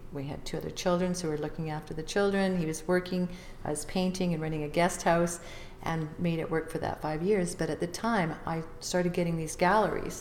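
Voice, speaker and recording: Flat and monotone, a woman with a Canadian accent speaks at a fairly quick pace and fairly low pitch. Audible room echo and noticeable background noise are present. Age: 60s. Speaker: visual artist and author. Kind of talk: interview.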